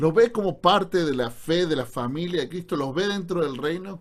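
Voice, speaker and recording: The man's fairly high voice moves along at a moderate pace. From Argentina, Córdoba. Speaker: pastor. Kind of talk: online Bible class lecture. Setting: Zoom video call. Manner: sounds serious, stern.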